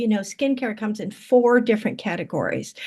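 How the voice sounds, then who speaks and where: A woman speaks at a fairly high pitch with ordinary pitch variation. The background is quiet. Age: 60s. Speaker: skincare brand seller. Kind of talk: sales pitch. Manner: casual, halting.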